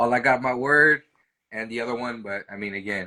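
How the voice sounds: Medium in pitch, a man's voice comes through. Its tone is bright and sharp.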